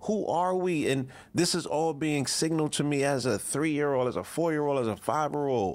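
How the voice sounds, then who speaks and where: A man talks fairly quickly in a New York accent, his pitch fairly high with ordinary variation. The recording is very clean, with a silent background. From New York (the Bronx). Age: 40s. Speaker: visual artist. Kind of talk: casual chat.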